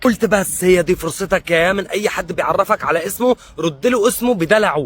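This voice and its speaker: In a Syrian accent, a man speaks at a moderate pace with lively intonation. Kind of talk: comedic personal anecdote.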